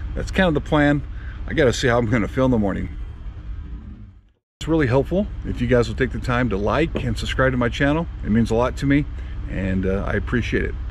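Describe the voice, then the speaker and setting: Audible room echo surrounds a man who talks at a very fast pace broken by long, frequent pauses. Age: 50s. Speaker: mountain bike vlogger. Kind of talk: post-ride vlog review. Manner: casual with fillers.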